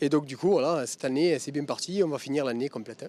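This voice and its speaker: The man talks at a very fast pace in a fairly high voice whose pitch varies in an ordinary way. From southern France. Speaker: race driver. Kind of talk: interview.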